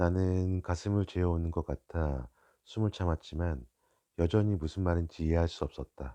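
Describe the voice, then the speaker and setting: Over a quiet background, the voice moves at a very slow pace with a soothing, calm tone that is dark and mellow. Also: man. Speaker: audiobook reader (father reading aloud). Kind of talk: sleep-aid audiobook reading. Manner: soft, soothing, calm.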